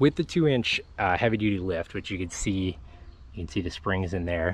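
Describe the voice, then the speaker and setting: A man's normal speaking voice, fairly low in pitch, with ordinary pitch variation, a moderate pace and dry sound with no echo. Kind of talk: casual walkaround commentary. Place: open country. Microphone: phone near.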